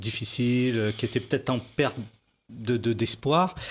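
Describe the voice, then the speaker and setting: A man speaks with fairly even intonation in a very clean recording with a silent background. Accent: slight Parisian. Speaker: hip-hop and slam artist. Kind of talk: TV interview. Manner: halting, many hesitations.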